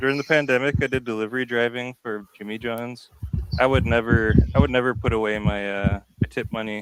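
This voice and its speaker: Speaking at a fairly quick pace, a man with an American accent keeps his intonation fairly even. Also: medium pitch for a man. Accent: stronger Canadian-like. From Montana, Browning, on a reservation near the Canadian border. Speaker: musician. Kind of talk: casual chat.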